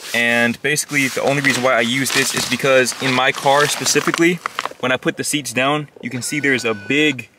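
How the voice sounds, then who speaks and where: Noticeable background noise surrounds a man's voice. He talks at a fairly quick pace with fairly even intonation. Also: dry sound with no echo. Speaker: car-living vlogger. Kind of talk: casual vlog chat. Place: car. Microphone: phone near.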